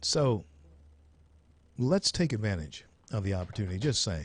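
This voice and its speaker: With an American accent, a man speaks at a moderate pace and medium pitch, somewhat breathy, with very wide pitch swings over a quiet background. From US South. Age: 60s. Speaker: radio talk show host. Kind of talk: call-in talk radio.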